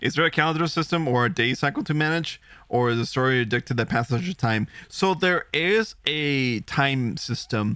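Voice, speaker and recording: Bright and sharp in tone, a man with a fairly high pitch speaks at a moderate pace, with lively intonation and very even loudness. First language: Spanish. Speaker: vtuber gaming streamer. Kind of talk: live gameplay stream commentary. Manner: casual, chatty.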